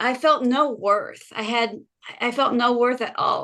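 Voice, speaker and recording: A woman is speaking here. Her pace is fairly slow. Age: 60s. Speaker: homemaker, member of a homemaking community. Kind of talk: testimonial on a group video call.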